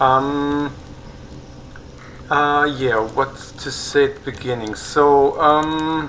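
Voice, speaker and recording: At a very slow pace with long, frequent pauses, someone speaks with a non-native accent. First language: not English. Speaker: gaming YouTuber. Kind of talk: gameplay tutorial. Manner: halting, many fillers.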